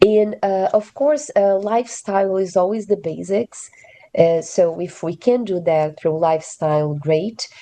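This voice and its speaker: A woman speaks with a Portuguese accent in a dark, mellow tone, at a fairly slow pace with ordinary pitch variation. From Brazil. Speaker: physician. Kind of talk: expert panel discussion. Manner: halting, many filler words.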